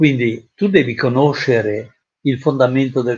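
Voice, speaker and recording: A man speaks in a somewhat breathy voice. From Italy, Genoa. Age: 80s+. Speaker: retired psychiatrist and trainer. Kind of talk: interview. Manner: halting, with frequent repetitions.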